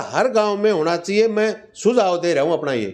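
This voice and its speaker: A man speaks in a Haryanvi accent. His pitch is high. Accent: Haryanvi-accented Hindi. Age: 60s. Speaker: retired police inspector. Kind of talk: interview.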